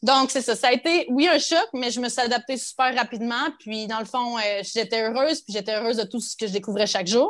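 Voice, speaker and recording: Speaking at a fairly quick pace, a woman with a Quebec accent uses a high pitch and ordinary pitch variation. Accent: Québécois. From Quebec, Abitibi. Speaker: teacher and content creator. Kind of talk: casual chat.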